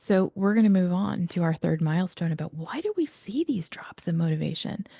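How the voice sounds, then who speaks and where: Somewhat breathy and quick, a woman speaks with ordinary pitch variation in a dry, close sound with no echo. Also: fairly low pitch for a woman. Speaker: educational expert presenter. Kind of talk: webinar presentation. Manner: fast.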